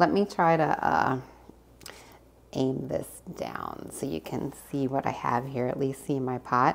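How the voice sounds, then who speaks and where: Soft-spoken, fairly slow speech with lively intonation, vocal fry, and long, frequent pauses over light background noise. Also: woman, very deep, low pitch for a woman. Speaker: cooking vlogger. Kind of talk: casual vlog. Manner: animated. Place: kitchen. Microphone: phone near.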